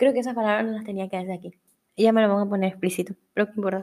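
Fairly even intonation in a woman's dark, mellow tone. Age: 20s. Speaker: podcast host. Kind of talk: casual monologue.

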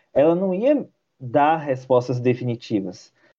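A man's fairly high pitch shows ordinary pitch variation as he talks in an ordinary speaking voice. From interior of Bahia, Brazil. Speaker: journalism graduate student. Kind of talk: interview.

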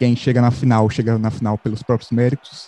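The man's voice is medium in pitch with a dark, mellow tone and monotone, flat intonation. He speaks at a moderate pace in a dry, close sound with no echo. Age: 20s. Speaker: journalism student, football podcast co-host. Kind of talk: casual chat.

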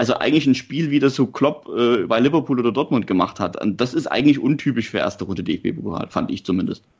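Racing at a very fast pace with hardly any pauses, a man with a slight Saxon accent uses lively intonation, vocal fry and a medium pitch. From Saxony, Germany. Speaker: football podcast co-host, journalist. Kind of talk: casual chat.

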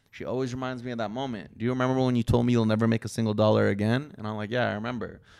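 The delivery is monotone and flat at a very fast pace. Audible room echo surrounds the voice. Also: man, medium pitch for a man. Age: 30s. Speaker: YouTuber and boxer. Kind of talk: casual chat.

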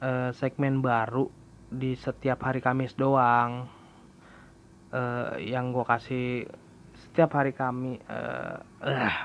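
The delivery is very slow, with long, frequent pauses. The intonation is monotone and flat. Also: man, medium pitch for a man. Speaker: podcast host. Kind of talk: solo casual monologue. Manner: halting, many fillers.

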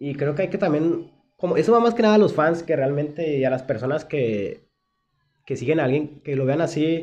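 This man has a fairly high pitch and a dark, mellow tone. He talks at a fairly quick pace. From Mexico, Monterrey. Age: 20s. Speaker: podcast co-host. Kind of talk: casual chat.

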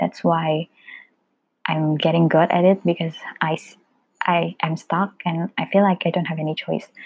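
A woman speaks at a fairly slow pace in a fairly low, monotone voice with flat intonation, leaving long, frequent pauses. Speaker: solo podcaster. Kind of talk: casual monologue. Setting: home recording. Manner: informal, code-switching.

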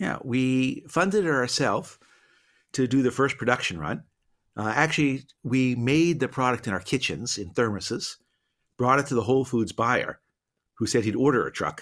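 A man with an American accent speaks at a moderate pace and medium pitch, with ordinary pitch variation and an unremarkable speaking voice, on a very clean recording with a silent background. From Boston. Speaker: business professor and entrepreneur. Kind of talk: interview conversation.

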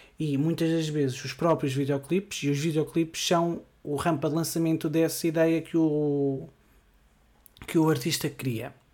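A man with a European Portuguese accent speaks fairly slowly in a fairly high pitch. His intonation is monotone and flat, and the very clean recording has a silent background. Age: 20s. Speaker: podcast host. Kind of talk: solo podcast monologue. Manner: hesitant, frequent fillers.

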